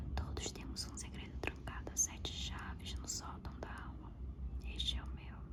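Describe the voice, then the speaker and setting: Whispering over noticeable background noise. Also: moderate pace. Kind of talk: whispered audiobook-style reading of a novel. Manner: whispered.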